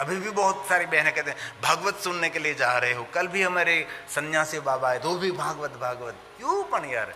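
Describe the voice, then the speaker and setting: A man's raised, projected voice at high pitch, with a slight Gujarati accent and noticeable background noise. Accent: slight Gujarati tone in Hindi. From Gujarat, India. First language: Gujarati (speaking Hindi). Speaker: religious storyteller. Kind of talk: religious discourse.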